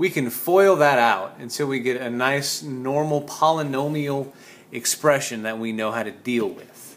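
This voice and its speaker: Talking at a moderate pace with ordinary pitch variation, a man has an unremarkable speaking voice. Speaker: physics teacher. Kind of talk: tutorial.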